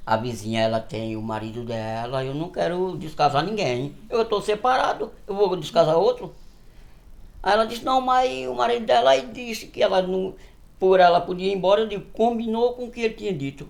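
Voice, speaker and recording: This man's voice has a high pitch. His pitch swings very widely. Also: moderate pace. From Northeast Brazil. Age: 60s. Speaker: farmer. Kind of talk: interview storytelling.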